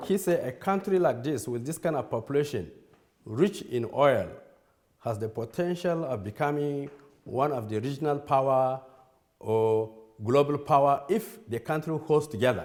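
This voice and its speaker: With a Nigerian accent, a man speaks at a moderate pace. His pitch is fairly high and his intonation lively. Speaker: church leader. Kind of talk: lecture. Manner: halting.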